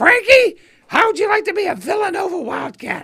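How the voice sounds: Shouting in a squeaky, put-on character voice at an extremely high pitch, the speaker moves at a fairly quick pace.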